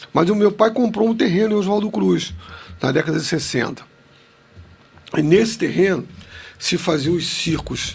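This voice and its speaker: A man speaks at a high pitch with lively intonation and long, frequent pauses. Music plays in the background. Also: moderate pace. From Rio de Janeiro suburbs, Madureira. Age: 60s. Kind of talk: podcast interview storytelling.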